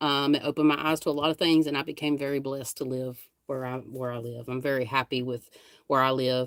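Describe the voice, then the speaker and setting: Speaking at a moderate pace with a North Carolina accent, the woman has a very deep, low pitch and fairly even intonation. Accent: Southern North Carolina. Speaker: paranormal investigator and live streamer. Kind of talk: casual live stream chat. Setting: live stream. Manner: rambling, conversational.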